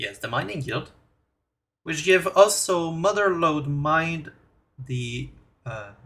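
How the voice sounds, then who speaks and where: Speaking very slowly with a Quebec accent, a man uses a fairly high pitch, a bright, sharp tone and lively intonation. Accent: French Canadian accent in English. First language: French. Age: 20s. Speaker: gaming YouTuber. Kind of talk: tutorial. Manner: halting.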